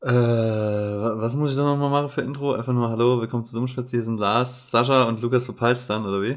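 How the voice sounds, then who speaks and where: Over noticeable background noise, a man with a medium pitch talks at a moderate pace in a monotone, flat intonation, hardly pausing at all. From Saarland. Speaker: podcast co-host. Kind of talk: casual chat.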